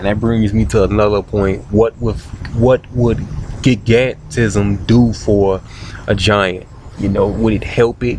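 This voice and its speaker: Noticeable background noise accompanies a man with a fairly low pitch. His intonation stays fairly even. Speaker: video blogger. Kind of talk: casual monologue. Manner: halting, many fillers and repetitions.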